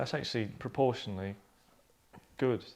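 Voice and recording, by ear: A man talks at a moderate pace with vocal fry. His pitch is medium and varies in an ordinary way.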